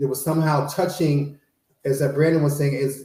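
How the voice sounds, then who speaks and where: A man with an American accent speaks at a fairly quick pace, his dark, mellow tone somewhat breathy and his intonation fairly even. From Chicago, South Side. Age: 60s. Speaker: panelist. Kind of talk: panel discussion.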